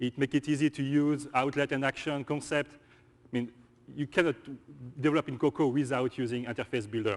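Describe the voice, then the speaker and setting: With a French accent, a man speaks at a fairly quick pace and a fairly high pitch, his intonation fairly even, the sound dry and close with no echo over a quiet background. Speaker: software engineer presenter. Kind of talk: conference presentation. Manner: halting.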